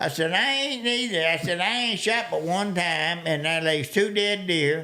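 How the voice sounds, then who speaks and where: High pitch from a man with a Southern US accent, with lively intonation, very even loudness and a fairly slow pace. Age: old. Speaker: hunter. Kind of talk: storytelling in podcast interview.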